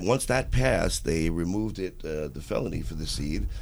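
The man's voice carries vocal fry. His intonation is lively. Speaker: podcast co-host. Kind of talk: casual banter on a comedy chat show. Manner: joking, laughs a lot.

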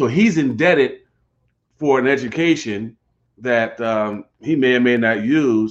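This is an unremarkable speaking voice, a man's at a medium pitch with ordinary pitch variation. He talks at a fairly slow pace, and his loudness stays very even. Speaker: pastor and co-host. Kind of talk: casual conversation.

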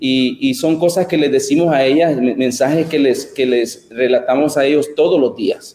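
Using an ordinary speaking voice, a man speaks at a moderate pace with hardly any pauses, a fairly high pitch, ordinary pitch variation and very even loudness. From El Salvador. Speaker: educator. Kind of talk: interview.

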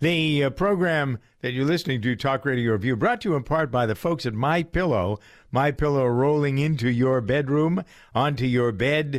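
Using a normal speaking voice, a man with a fairly high pitch talks at a moderate pace with ordinary pitch variation and very even loudness, on a very clean recording with a silent background. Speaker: radio talk show host. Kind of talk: talk radio commentary and panel discussion. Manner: opinionated, professorial, chatty.

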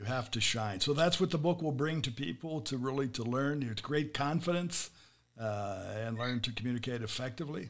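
An unremarkable speaking voice from a man with an American accent, medium pitch, ordinary pitch variation and a fairly quick pace. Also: very clean recording, silent background. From USA. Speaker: podcast host. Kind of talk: interview; scripted intro. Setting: studio.

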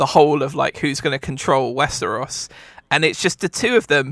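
A man's bright, sharp voice with vocal fry, lively intonation and a fairly quick pace, dry and close with no echo. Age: 30s. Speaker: podcast co-host. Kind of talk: casual chat. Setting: video call.

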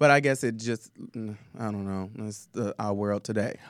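Speaking with a Southern US accent at a moderate pace, a man comes through on a very clean recording against a silent background. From Tennessee. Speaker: drag performer and singer. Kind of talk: casual chat. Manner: animated.

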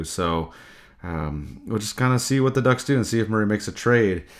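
A man with a plain, everyday voice, fairly low pitch and moderate pace, in a very clean recording with a silent background. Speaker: hockey podcast host. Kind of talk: casual sports talk podcast. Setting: recorded podcast.

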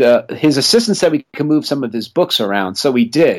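A man talks at a fairly quick pace in an ordinary speaking voice with a fairly high pitch. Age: 40s. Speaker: film producer. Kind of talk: casual chat.

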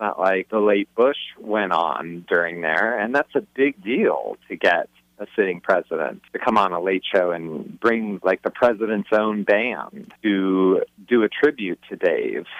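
Using a plain, everyday voice, a man talks at a fairly slow pace and fairly low pitch with ordinary pitch variation. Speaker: author. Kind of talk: interview.

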